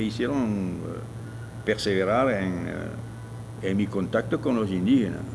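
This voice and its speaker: Music plays in the background as a man speaks. He has a French accent and a medium pitch. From France. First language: French (speaking Spanish). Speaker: ethnologist. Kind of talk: interview. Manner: halting.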